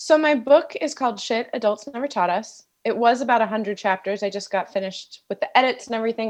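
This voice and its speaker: Speaking at a very fast pace, a woman leaves hardly any pauses. Her pitch is fairly high. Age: 30s. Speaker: author. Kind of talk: casual chat. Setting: studio.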